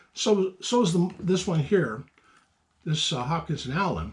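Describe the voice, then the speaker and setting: Mumbling at a moderate pace, a man with a fairly high pitch uses lively intonation. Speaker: antique gun collector. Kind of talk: casual talk to camera. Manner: halting, mumbling.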